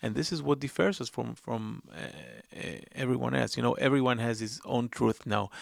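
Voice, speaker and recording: At a moderate pace, a man talks with an Israeli accent. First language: Hebrew. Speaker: investigative journalist and filmmaker. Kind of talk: interview. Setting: studio. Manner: halting.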